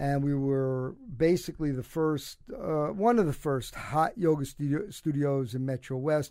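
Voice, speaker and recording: A man's fairly high, dark and mellow voice with a Brooklyn accent, fairly slow and fairly even in intonation, on a very clean recording with a silent background. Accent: New York (Brooklyn). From Brooklyn, New York. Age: 70s. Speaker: cancer survivor and former basketball coach. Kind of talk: casual interview chat. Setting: studio.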